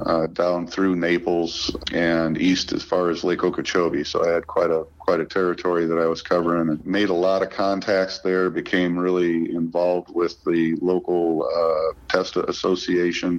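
A man speaks in a very deep, low voice with monotone, flat intonation and very even loudness. He leaves hardly any pauses, and background noise is noticeable. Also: moderate pace. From central Illinois. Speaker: golf course equipment manager. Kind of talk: interview.

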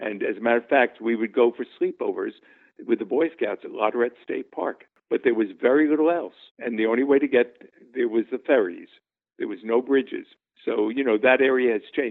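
With a New York accent, a man talks at a fairly quick pace. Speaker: interviewee recalling childhood. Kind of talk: interview, reminiscing.

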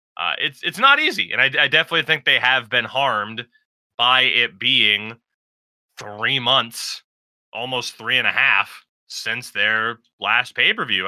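A man with a normal speaking voice at a fairly slow pace. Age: 20s. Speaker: wrestling podcast co-host. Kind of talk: casual chat.

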